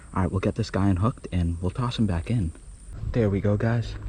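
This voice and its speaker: Quiet and somewhat breathy, a man speaks at a very fast pace in a dark, mellow tone. His pitch is fairly low, with ordinary pitch variation. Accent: American. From Boston, Massachusetts. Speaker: fishing youtuber. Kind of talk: casual vlog commentary. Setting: outdoors by a creek. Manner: quiet, subdued while catching fish.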